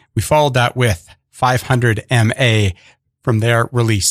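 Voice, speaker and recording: On a very clean recording with a silent background and a dry, close sound with no echo, a man uses an ordinary speaking voice at a medium pitch, a fairly slow pace and with fairly even intonation. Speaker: radio host. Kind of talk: radio DJ patter introducing tracks. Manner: warm, conversational, easygoing.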